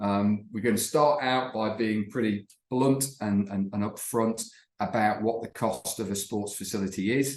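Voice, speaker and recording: A man's plain, everyday voice at a medium pitch, with a moderate pace and fairly even intonation. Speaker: company representative presenting webinar. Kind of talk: webinar presentation. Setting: online webinar.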